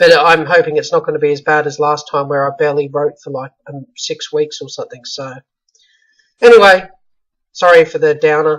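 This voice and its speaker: This man speaks at a fairly quick pace with a fairly high pitch. His loudness swings widely. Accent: Australian. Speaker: self-published author. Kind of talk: casual video update. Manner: monotone.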